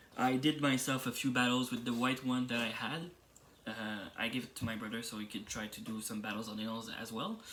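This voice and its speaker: A man with a French accent, bright and sharp in tone, at a fairly quick pace. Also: medium pitch for a man, fairly even intonation. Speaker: toy reviewer YouTuber. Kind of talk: product review. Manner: hesitant, with fillers.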